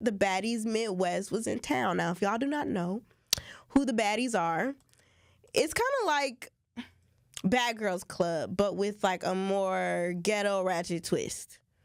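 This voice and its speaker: An ordinary speaking voice at a fairly slow pace, with ordinary pitch variation. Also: woman, medium pitch for a woman. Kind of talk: radio talk show co-host commentary.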